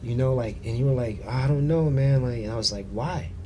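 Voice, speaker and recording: Noticeable background noise and audible room echo surround a man talking at a medium pitch. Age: 40s. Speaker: financial advisor and massage therapist. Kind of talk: casual chat. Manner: animated.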